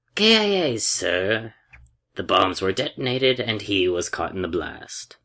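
Using a put-on character voice, a man speaks at a fairly low pitch with big pitch swings. His tone is bright and sharp, and his pace is fairly slow.

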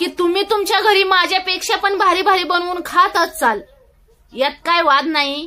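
In a rural Marathi accent, the speaker uses a raised, projected voice with ordinary pitch variation. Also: woman, extremely high pitch for a woman. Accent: rustic village Marathi dialect. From rural Maharashtra. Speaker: social media creator. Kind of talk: vlog monologue. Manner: halting, repetitive. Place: home room. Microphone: phone near.

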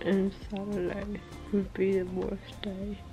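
With clear music in the background, a woman speaks at a very slow pace. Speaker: vlogger. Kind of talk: casual vlog chat. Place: home room. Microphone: phone near.

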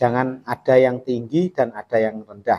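A man's voice has a dark, mellow tone. His pace is fairly slow. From Indonesia. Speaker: carpenter showing saw sharpening. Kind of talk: tutorial. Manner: casual, repetitive filler phrases. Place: workshop.

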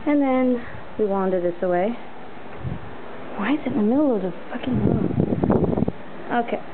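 Long, frequent pauses at a moderate pace over loud background noise. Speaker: apartment tour host. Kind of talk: casual home tour talk to camera. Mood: grumbly, self-deprecating. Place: home room. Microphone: phone near.

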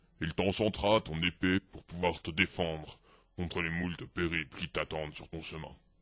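Putting on a character voice, a man speaks at a very deep, low pitch. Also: moderate pace. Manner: kindly, advising.

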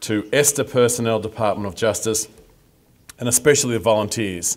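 The speaker has an ordinary speaking voice and moves at a fairly quick pace. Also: man. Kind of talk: formal speech. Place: street. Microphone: podium.

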